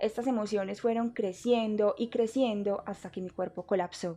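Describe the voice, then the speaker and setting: Woman with a dark, mellow tone, fairly high pitch, fairly even intonation and a moderate pace. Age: 20s. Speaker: university student. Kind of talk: testimony.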